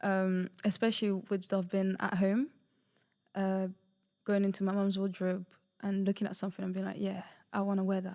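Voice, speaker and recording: With long, frequent pauses, a woman of medium pitch speaks at a moderate pace in a dark, mellow tone and monotone, flat intonation, on a very clean recording with a silent background. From Portugal. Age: 20s. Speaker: university student. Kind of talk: interview.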